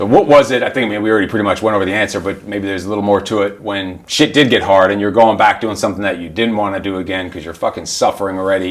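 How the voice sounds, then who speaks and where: A man talks at a very fast pace with hardly any pauses, his fairly low voice held in a fairly even intonation. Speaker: instructor, former Marine. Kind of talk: podcast host interview. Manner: casual, profane.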